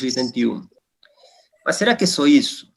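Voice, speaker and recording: A man talks with a Spanish accent. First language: Spanish (speaking Portuguese). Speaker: geologist and academic. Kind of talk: formal induction speech. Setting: virtual session. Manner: formal.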